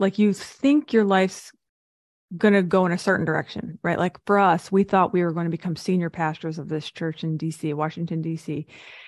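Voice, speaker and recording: A woman's fairly low, unremarkable speaking voice at a fairly quick pace, with ordinary pitch variation over a quiet background. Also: dry, close sound with no echo. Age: 40s. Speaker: speaking coach and business consultant. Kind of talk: interview.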